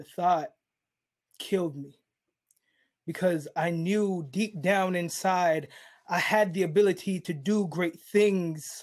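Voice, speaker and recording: A man speaks very slowly in a high pitch, with fairly even intonation and long, frequent pauses. His loudness swings widely against a quiet background. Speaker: spoken word poet. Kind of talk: spoken word performance. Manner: rhythmic. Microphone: webcam.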